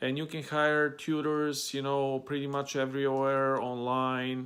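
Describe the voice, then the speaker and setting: Speaking very slowly in a flat monotone, a man with a medium pitch and a Bulgarian accent is heard in a very clean recording with a silent background. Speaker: language-learning vlogger. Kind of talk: casual talk to camera. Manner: hesitant, many fillers.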